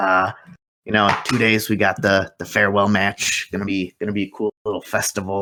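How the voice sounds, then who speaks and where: A man puts on a raspy, fairly low character voice and speaks at a moderate pace. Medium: actual play. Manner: rambling, filler-heavy.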